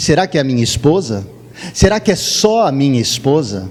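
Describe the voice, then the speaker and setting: Over noticeable background noise, a man speaks in an animated tone at a fairly slow pace, his pitch swinging very widely. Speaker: pastor. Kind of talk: sermon.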